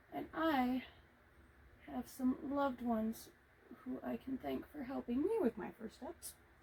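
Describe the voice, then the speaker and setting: Amid noticeable background noise, a woman with a high pitch and ordinary pitch variation talks at a fairly slow pace with long, frequent pauses. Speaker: video creator painting on camera. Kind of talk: casual vlog talk while painting. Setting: hot room at home. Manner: projecting louder than usual.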